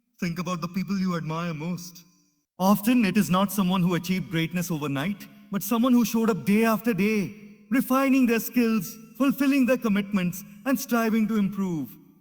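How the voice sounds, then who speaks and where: Over music in the background, a man talks at a fairly quick pace in a high voice. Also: ordinary pitch variation. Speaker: motivational speaker. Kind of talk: motivational speech.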